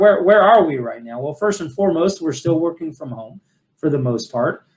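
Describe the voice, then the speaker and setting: At a fairly quick pace, a man speaks with a fairly high pitch. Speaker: financial advisor and firm CEO. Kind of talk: webinar presentation. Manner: fast.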